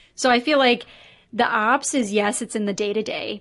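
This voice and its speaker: With an American accent, a woman speaks in a plain, everyday voice at a fairly high pitch, her pitch varying in an ordinary way against a quiet background. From US Midwest, Chicago. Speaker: business operations consultant. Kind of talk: interview conversation.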